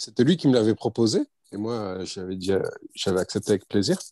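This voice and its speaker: At a moderate pace, a man talks in a medium pitch, the sound dry and close with no echo over a quiet background. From France, Bordeaux area. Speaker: former amateur footballer. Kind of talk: interview.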